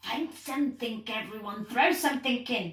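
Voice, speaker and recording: A woman's high-pitched, put-on character voice at a moderate pace. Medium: read story.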